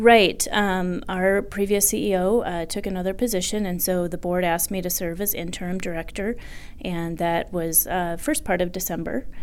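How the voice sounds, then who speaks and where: A woman speaks with an American accent and ordinary pitch variation. Audible room echo surrounds her voice. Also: medium pitch for a woman, moderate pace. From southwest Colorado. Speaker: agricultural trade association executive. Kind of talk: interview. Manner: halting, many fillers.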